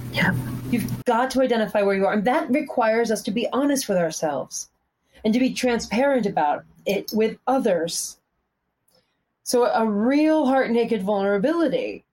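A woman with an American accent has an ordinary speaking voice, pitched fairly high. She talks at a moderate pace with lively intonation and very even loudness. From US Northeast, Pennsylvania. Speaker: fitness instructor and cyclist. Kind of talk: casual interview chat. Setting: video call.

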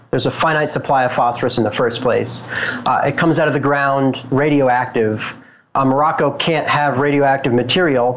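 With an American accent and a medium pitch, a man speaks with fairly even intonation while the room echo is audible. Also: moderate pace. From Boulder, Colorado. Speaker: cannabis grower and business owner. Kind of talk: interview.

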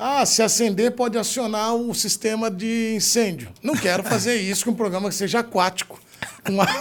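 Noticeable background noise sits behind a man whose voice is high-pitched and whose pace is moderate. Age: 40s. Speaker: sports journalist and podcast host. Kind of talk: casual chat. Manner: animated.

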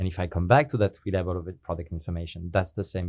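Against a quiet background, a man with a non-native accent speaks very fast in a very deep, low pitch with fairly even intonation. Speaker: software company partner evangelist. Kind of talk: interview. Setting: podcast studio.

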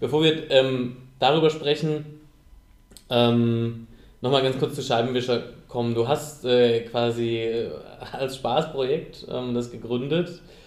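Audible room echo surrounds a man speaking fairly slowly. His pitch is medium and his intonation fairly even. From rural southern Germany. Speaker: podcast host. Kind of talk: interview. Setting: meeting room. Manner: halting.

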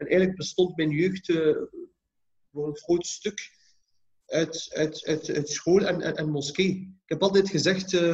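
Monotone, flat intonation at a moderate pace. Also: man. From Belgium, Ghent (Flanders). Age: 30s. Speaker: imam and community leader. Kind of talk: interview conversation.

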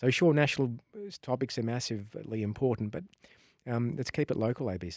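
Spoken at a very fast pace with an Australian accent, the voice has lively intonation, big swings in loudness and long, frequent pauses, on a very clean recording with a silent background. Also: man, medium pitch for a man. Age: 40s. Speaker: investigative journalist. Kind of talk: interview.

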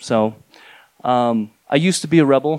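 In an American accent, a man speaks with a dry, close sound that has no echo. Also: very clean recording, silent background. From rural New Mexico. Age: 40s. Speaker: comic artist. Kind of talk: live storytelling. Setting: stage with audience.

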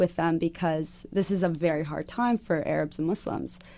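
A woman with an American accent and a fairly low pitch, at a moderate pace, on a very clean recording with a silent background. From US Southwest, Arizona. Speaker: activist. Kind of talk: interview. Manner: halting, many fillers.

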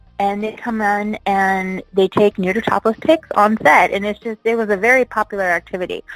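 A woman's normal speaking voice in an American accent, medium pitch and moderate pace with hardly any pauses, in a dry, close sound with no echo. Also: fairly even intonation. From Las Vegas, US. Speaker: retired adult film performer and event producer. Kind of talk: interview.

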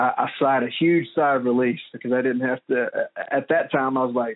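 A man's medium-pitched voice at a fairly quick pace, with fairly even intonation

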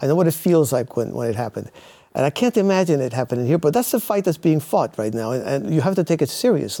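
A man talks at a very fast pace in a fairly high, dark, mellow voice with vocal fry and very wide pitch swings. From Cuba, raised in the US from childhood. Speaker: author and former intelligence analyst. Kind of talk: interview.

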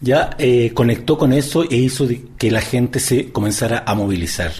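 The voice belongs to a man. Clear background noise can be heard throughout. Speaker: sociologist, university professor. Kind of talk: interview. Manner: halting.

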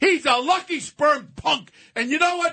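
In an American accent, a man speaks at a moderate pace in a raised, projected voice, his pitch extremely high and his tone bright and sharp. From New York City. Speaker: radio commentator. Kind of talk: heated radio commentary. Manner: loud; animated.

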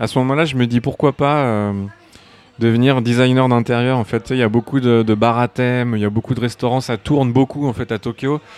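A man's unremarkable speaking voice at medium pitch, fairly quick, with fairly even intonation. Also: dry, close sound with no echo. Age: 30s. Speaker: concept artist. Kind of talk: interview. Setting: bar.

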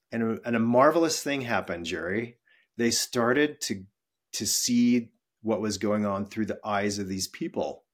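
A man with an American accent speaks at medium pitch and a moderate pace in an ordinary speaking voice, with ordinary pitch variation, on a very clean recording with a silent background. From western US. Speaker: employee experience executive. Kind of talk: interview.

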